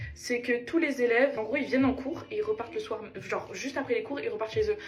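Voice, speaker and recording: A woman is speaking. Music can be heard behind her. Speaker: lifestyle vlogger, student. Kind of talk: casual get-ready-with-me vlog chat. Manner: casual, hesitant with many fillers.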